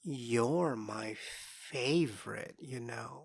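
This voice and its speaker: A raspy, put-on character voice sits at a low-to-middle pitch and carries a playful tone. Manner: sly, cryptic, playful.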